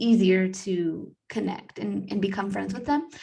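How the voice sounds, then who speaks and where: The woman's voice sits at a medium pitch. It sounds somewhat breathy. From United States. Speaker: podcast co-host. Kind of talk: casual chat.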